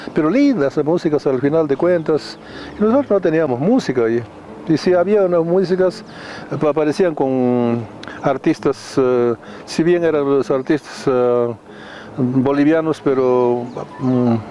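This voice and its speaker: At a fairly slow pace, a man speaks in a fairly high pitch with ordinary pitch variation and very even loudness over noticeable background noise. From Bolivia, Cochabamba highlands (colla). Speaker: music label founder and businessman. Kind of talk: interview. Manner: halting with many repetitions.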